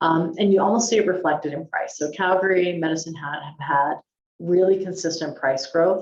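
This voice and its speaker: A woman with a fairly low voice talks at a fairly quick pace with ordinary pitch variation. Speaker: chief economist. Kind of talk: webinar presentation. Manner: fast; hesitant, many ums.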